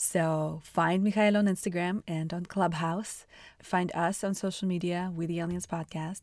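A woman speaks at a medium pitch with a Russian accent. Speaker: podcast host. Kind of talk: interview conversation. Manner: animated.

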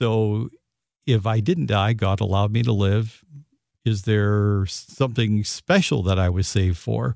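In a very clean recording with a silent background, a man with an unremarkable speaking voice talks at a fairly slow pace, fairly low in pitch, with ordinary pitch variation and very even loudness. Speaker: radio host. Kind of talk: radio talk show conversation. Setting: radio studio.

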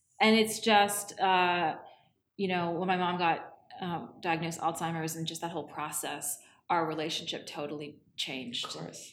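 Speaking at a moderate pace, a woman has a fairly low pitch and ordinary pitch variation. Audible room echo surrounds her voice. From Canada, Toronto. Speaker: film and TV director. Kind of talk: interview conversation. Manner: halting, many fillers and restarts.

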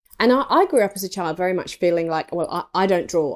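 The pace here is moderate. An English accent comes through. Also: woman. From rural England. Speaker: interior stylist. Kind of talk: interview. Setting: home, cat with a bell nearby.

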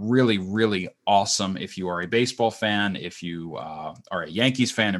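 This is an ordinary speaking voice with an American accent. The pitch variation is ordinary. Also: man. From US, Florida. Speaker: podcast co-host. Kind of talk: casual chat.

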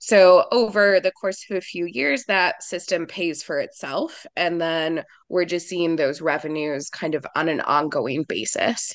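With an American accent, a woman talks in a normal speaking voice at a fairly low pitch, fairly slowly, with ordinary pitch variation and hardly any pauses. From US Midwest, rural mid-Michigan. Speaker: solar energy operations director. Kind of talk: interview.

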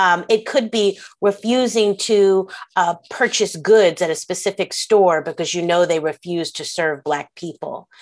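A woman in an American accent speaks fairly slowly in a normal speaking voice with ordinary pitch variation, on a very clean recording with a silent background. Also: medium pitch for a woman. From Philadelphia, US. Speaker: history professor and author. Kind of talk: interview conversation.

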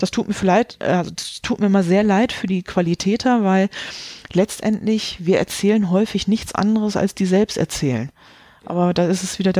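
A woman speaks at a medium pitch and moderate pace with a dark, mellow tone. Her loudness is very even, her intonation fairly even, and the sound is dry and close with no echo. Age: 40s. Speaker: quality management consultant and author. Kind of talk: interview.

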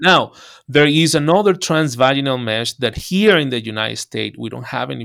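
A man with a Spanish accent talks at a moderate pace with ordinary pitch variation in a very clean recording with a silent background. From Venezuela. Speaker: urologist. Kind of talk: interview.

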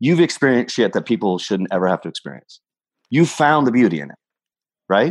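A man with vocal fry talks at a fairly quick pace in a medium pitch, his voice swinging very widely in pitch and broken by long, frequent pauses, recorded dry and close with no echo over a quiet background. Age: 40s. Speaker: real estate entrepreneur. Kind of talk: interview.

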